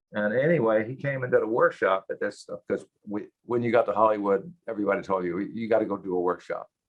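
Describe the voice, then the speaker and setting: Talking at a very fast pace, a man speaks with a Texas accent. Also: hardly any pauses. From Texas (Cuero). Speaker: actor. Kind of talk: interview. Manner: halting.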